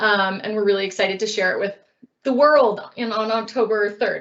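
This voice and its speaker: At a fairly quick pace, a woman with a fairly high pitch speaks with ordinary pitch variation. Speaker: website project presenter. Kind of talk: online presentation. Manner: fast.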